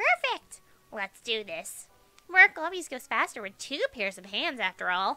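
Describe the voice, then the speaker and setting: A put-on character voice, female-sounding and high-pitched, with very wide pitch swings, a moderate pace and music in the background. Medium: game stream. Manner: sweet, patronizing.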